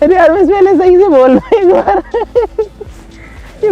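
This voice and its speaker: A man with an extremely high pitch speaks at a moderate pace, his tone animated and his intonation lively. Noticeable background noise runs underneath. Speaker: YouTuber doing science experiments. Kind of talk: casual vlog commentary.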